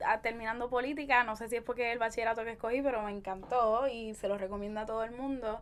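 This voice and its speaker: Monotone, flat intonation with hardly any pauses on a very clean recording with a silent background. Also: woman. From Puerto Rico, Caguas. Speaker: feminist blogger and podcaster. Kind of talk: casual interview.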